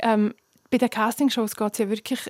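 With a dry, close sound and no echo, a woman with a fairly high pitch speaks at a very fast pace in a monotone, flat intonation. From Switzerland, Graubünden (Chur). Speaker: singer. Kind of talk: interview.

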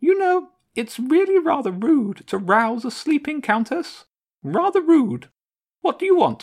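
In a very clean recording with a silent background, a man uses a put-on character voice at an extremely high pitch, speaking at a moderate pace. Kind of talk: formal, refined. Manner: indignant, haughty.

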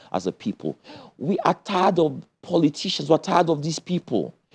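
A man with a dark, mellow tone and vocal fry talks at a very fast pace. The sound is dry and close, with no echo. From Nigeria (Kano, then Lagos). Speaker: presidential candidate. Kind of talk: political interview.

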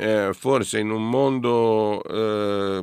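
With fairly even intonation, a man speaks on a very clean recording against a silent background. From Italy, Genoa. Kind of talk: casual chat.

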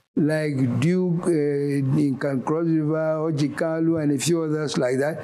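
A man talks with a fairly high pitch. His tone is dark and mellow. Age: 80s+. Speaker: former state governor and politician. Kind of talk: TV interview. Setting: studio.

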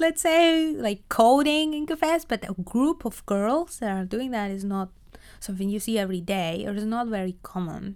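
A woman in a Spanish accent at a moderate pace and medium pitch, with very wide pitch swings, on a very clean recording over a silent background. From Argentina. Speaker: project manager. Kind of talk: interview. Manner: hesitant, many fillers.

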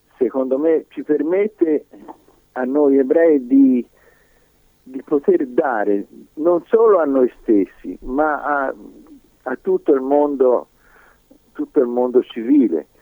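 A man talks very slowly, and the sound is dry and close with no echo at all. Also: long, frequent pauses. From Italy, Livorno (Tuscany). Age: 80s+. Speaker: Holocaust survivor. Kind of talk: testimony.

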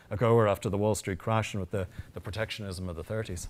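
At a very fast pace, a man talks with an Irish accent. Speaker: historian. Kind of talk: panel discussion. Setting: stage with audience.

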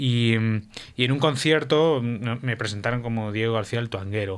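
A man uses a normal speaking voice at a medium pitch, with ordinary pitch variation and a fairly slow pace. The recording is very clean, with a silent background. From Spain, Valencia. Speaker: guitarist. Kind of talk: radio interview.

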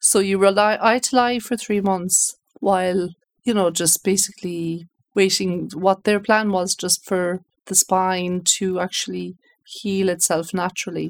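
In a western Irish accent, a woman speaks at a fairly slow pace and medium pitch with fairly even intonation, the sound dry and close with no echo. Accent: Irish (west of Ireland). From Ireland, Galway. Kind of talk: personal testimony interview. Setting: radio studio.

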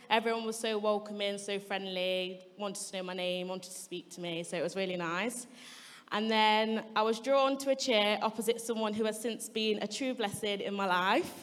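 A woman speaks in a normal speaking voice at a moderate pace, with a medium pitch and fairly even intonation. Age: 20s. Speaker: baptism candidate, paediatric nurse. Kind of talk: testimony.

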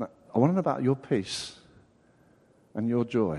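A man in an English accent speaks at a fairly quick pace with lively intonation and a dark, mellow tone. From England. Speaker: preacher. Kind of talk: sermon. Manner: animated.

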